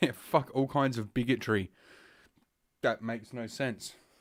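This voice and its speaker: Speaking at a moderate pace in an Australian accent, a man uses ordinary pitch variation. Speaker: podcast host. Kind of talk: casual podcast monologue. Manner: heavy breathing through nose.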